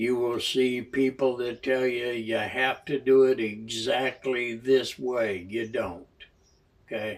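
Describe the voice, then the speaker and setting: A man's very slow speech with fairly even intonation. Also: medium pitch for a man. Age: 70s. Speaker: amateur banjo player and channel host. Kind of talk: casual talk to camera. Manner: relaxed, hesitant with fillers.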